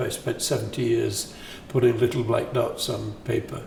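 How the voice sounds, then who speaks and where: A man's speech carries audible room echo, with noticeable background noise in the recording. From northern England, Sheffield. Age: 80s+. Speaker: composer. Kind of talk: interview. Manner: halting.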